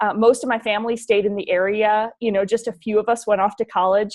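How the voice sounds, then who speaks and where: Her voice sits fairly high, and the woman speaks with an American accent. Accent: slight northern Midwest, coming back. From US Midwest, rural northern Wisconsin. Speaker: leadership consultant. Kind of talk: interview.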